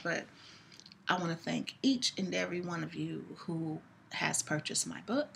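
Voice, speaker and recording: Vocal fry marks the very deep, low voice of a woman as she talks. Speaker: poet and author. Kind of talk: casual talk to camera, thanking viewers.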